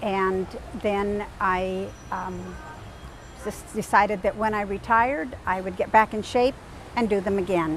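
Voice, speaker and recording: A woman speaks at a very slow pace with medium pitch and fairly even intonation. Noticeable background noise sits behind her. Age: 60s. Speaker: triathlete. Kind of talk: interview monologue. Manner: halting, with fillers.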